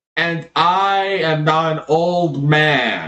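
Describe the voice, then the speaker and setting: A put-on character voice from a man, fairly high-pitched, with monotone, flat intonation. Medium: actual play.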